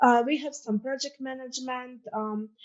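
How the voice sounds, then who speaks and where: This woman talks at a moderate pace in a fairly high pitch, with ordinary pitch variation. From Croatia, Zagreb. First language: Croatian. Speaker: student ambassador. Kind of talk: presentation.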